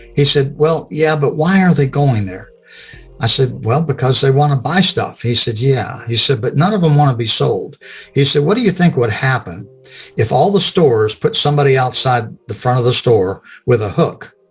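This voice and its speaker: Music plays in the background as a man with an American accent speaks at a moderate pace. His pitch is fairly high and his intonation lively. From US South. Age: 60s. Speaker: business consultant. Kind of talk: interview. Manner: casual.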